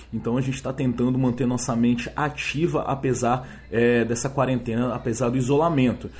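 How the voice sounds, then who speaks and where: A man at a medium pitch, fairly quick and with hardly any pauses, in a monotone, flat intonation over noticeable background noise. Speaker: podcast host. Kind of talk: solo monologue podcast. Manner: hesitant, many filler words.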